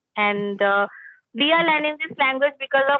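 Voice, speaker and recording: This voice belongs to a woman. She speaks with a Bengali accent. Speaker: English learner. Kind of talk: casual chat. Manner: halting, many fillers.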